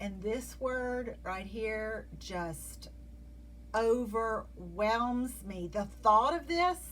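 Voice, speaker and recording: Speech comes at a very slow pace in a Southern US accent. Audible room echo is present. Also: woman. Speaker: Bible teacher. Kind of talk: devotional Bible study talk. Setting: video.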